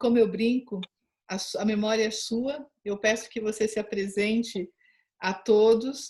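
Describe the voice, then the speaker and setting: Somewhat breathy and fairly high-pitched, a woman talks at a fairly slow pace with monotone, flat intonation and big swings in loudness. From São Paulo, Brazil. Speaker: interviewer, rural tourism channel host. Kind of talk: interview introduction.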